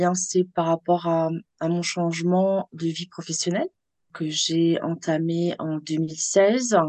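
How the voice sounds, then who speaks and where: Dry and close with no echo, a woman's dark, mellow voice moves at a very slow pace. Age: 50s. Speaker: onco-hairdresser. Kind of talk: interview. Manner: animated.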